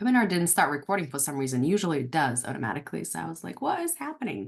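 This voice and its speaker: Against a quiet background, a woman with a non-native accent speaks with very wide pitch swings. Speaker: dental practice coach. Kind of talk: webinar class. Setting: online webinar. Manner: fast; dramatic pauses.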